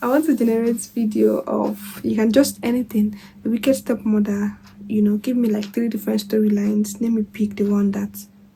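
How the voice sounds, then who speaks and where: This woman's voice is somewhat breathy, with a dark, mellow tone. Her pitch sits at a medium level and her intonation is fairly even. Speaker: YouTube tutorial creator. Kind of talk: tutorial. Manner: fast.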